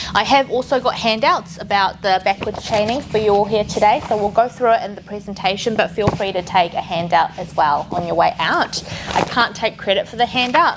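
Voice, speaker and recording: Over music in the background, a woman talks at a fairly quick pace with hardly any pauses, using lively intonation at a medium pitch. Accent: New Zealand. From New Zealand, Canterbury (born in Taiwan). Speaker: physiotherapist. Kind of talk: training presentation. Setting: room with live audience. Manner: fast when excited.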